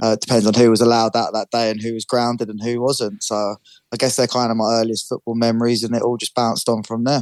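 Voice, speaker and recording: Delivered with monotone, flat intonation, a man's London accent rushes by at a very fast pace in a dry, close sound with no echo. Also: medium pitch for a man. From North London. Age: 20s. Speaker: amateur footballer. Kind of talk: interview. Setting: radio show.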